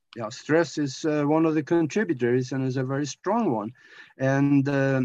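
The speaker is a man. His tone is dark and mellow. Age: 70s. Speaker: anti-aging researcher and radio talk show host. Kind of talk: interview. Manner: halting.

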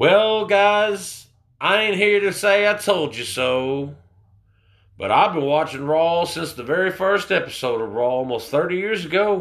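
A man with a high pitch speaks at a fairly slow pace, his intonation lively. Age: 20s. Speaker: wrestling podcast host. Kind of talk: casual solo review.

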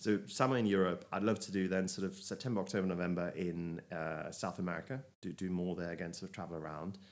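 This man speaks very fast with hardly any pauses, his very deep, low pitch moving with ordinary variation. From Germany. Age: 40s. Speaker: travel enthusiast. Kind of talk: casual chat. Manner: halting, repeats words.

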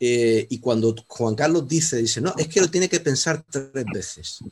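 At a fairly slow pace, a man with a fairly high pitch speaks somewhat breathily and with lively intonation. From Canary Islands. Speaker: audience member, law professor. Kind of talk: audience question. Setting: video call.

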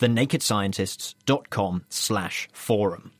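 This is an ordinary speaking voice: a man talking at a fairly slow pace with lively intonation. The sound is dry and close with no echo, in a very clean recording with a silent background. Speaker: science show co-presenter. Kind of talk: radio science magazine presenting.

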